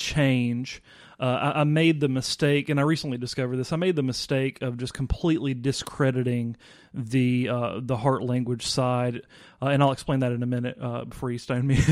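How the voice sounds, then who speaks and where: A man speaks at a moderate pace with a Mississippi accent. His pitch sits in the medium range. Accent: US Southern (Mississippi). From Mississippi, Vicksburg. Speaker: worship pastor. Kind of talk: casual chat. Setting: studio.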